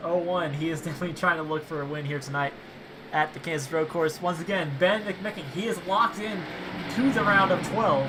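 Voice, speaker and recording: Music sounds behind the voice. The talking goes at a fairly quick pace. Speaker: sim racing commentator. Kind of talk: live commentary. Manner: momentary stuttering.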